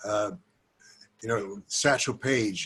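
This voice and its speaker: Somewhat breathy, a man with an American accent speaks at a fairly slow pace. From US South. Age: 80s+. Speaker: retired judge and former politician. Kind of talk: reminiscing talk to a group. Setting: video call. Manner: halting.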